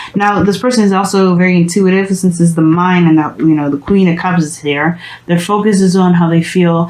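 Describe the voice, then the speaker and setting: Behind the talking there is noticeable noise, while the delivery keeps a moderate pace and fairly even intonation. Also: woman. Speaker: tarot reader. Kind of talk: tarot reading monologue. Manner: halting.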